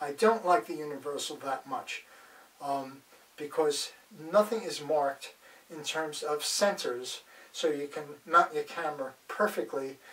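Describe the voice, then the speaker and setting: A fairly high-pitched man at a fairly slow pace, against noticeable background noise. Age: 70s. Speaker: photography gear reviewer. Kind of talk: product demonstration. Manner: casual with frequent fillers.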